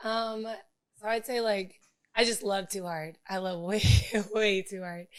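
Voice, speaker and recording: Fairly slow with long, frequent pauses, a woman speaks at a medium pitch with fairly even intonation. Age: 30s. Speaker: podcast panel guest. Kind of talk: casual group discussion.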